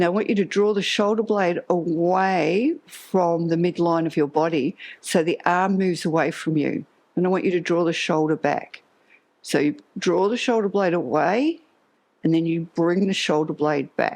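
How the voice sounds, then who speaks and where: A woman uses a normal speaking voice at a fairly low pitch, with ordinary pitch variation and very even loudness. She keeps a moderate pace against a quiet background. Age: 60s. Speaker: Pilates instructor. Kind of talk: exercise class instruction. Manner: calm, instructive cueing.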